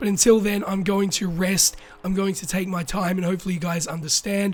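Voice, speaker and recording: Speaking at a fairly quick pace with fairly even intonation, a man uses a high voice and an Australian accent. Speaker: YouTuber. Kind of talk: casual talk to camera.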